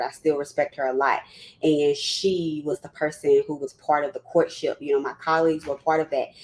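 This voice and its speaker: Someone talks very fast in a Southern US accent. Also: woman. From US South, Louisiana. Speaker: psychologist and former university counseling clinician. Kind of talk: panel discussion, personal testimony. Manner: animated, conversational.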